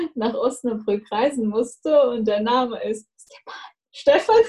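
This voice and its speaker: Speaking in a Russian accent, a woman has a dark, mellow tone with a fairly high pitch. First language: Russian (speaking German). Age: 20s. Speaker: university student. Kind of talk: casual chat.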